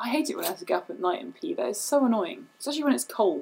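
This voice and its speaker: A woman with a British accent talks at a very fast pace. Her pitch swings very widely. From England. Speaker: video producer and comedic performer. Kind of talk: casual chat.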